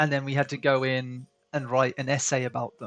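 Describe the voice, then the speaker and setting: A man's medium-pitched voice with a British accent at a moderate pace, dry and close with no echo, over music in the background. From Britain. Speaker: art stream host. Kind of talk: casual chat.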